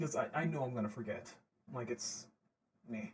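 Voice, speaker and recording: Somewhat breathy and medium in pitch, the man speaks at a moderate pace. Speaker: audio story creator. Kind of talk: livestream Q&A. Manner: casual, hesitant with fillers.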